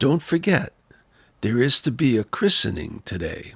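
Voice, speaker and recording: A man's put-on character voice, raspy and fairly high, with very wide pitch swings at a moderate pace. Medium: read story.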